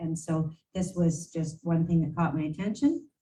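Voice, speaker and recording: A woman with a dark, mellow, somewhat breathy tone speaks at a moderate pace with ordinary pitch variation. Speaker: mayor. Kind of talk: council meeting presentation. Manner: hesitant, with fillers.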